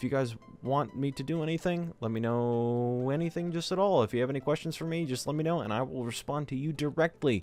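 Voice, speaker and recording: Over music in the background, a man with an American accent talks at a very fast pace with hardly any pauses, his fairly high pitch showing ordinary variation. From US South, Georgia. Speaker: gaming youtuber. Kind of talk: casual vlog talk. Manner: animated.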